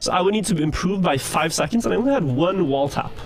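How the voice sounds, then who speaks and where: A man talks very fast in a high pitch with lively intonation while music plays in the background. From Norway. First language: Norwegian. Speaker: speedrunner. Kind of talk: live gameplay commentary.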